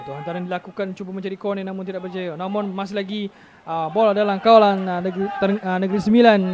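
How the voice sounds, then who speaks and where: With a Malaysian accent, a man with a high pitch for a man speaks at a very fast pace, his loudness swinging widely, with noticeable background noise behind him. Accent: Malaysian Malay. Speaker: football commentator. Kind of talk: live football commentary. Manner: rapid-fire, clipped play-by-play; animated, exclaiming at near-misses.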